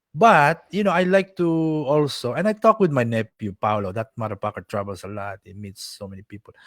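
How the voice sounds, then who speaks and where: Talking at a fairly quick pace with hardly any pauses, a man swings his pitch very widely on a very clean recording with a silent background. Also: medium pitch for a man. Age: 70s. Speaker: martial arts grandmaster. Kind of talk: interview. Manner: animated.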